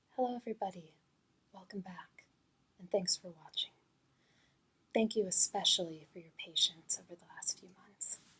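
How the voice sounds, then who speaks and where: The voice is soft-spoken at a moderate pace. Long, frequent pauses break up the speech. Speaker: ASMR creator. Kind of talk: soft-spoken ASMR tutorial.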